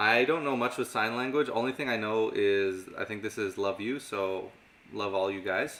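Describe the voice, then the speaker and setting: A man at medium pitch with a slight Canadian accent, moderate pace, and fairly even intonation. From Canada. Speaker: magic and mentalism teacher. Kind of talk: live stream Q&A.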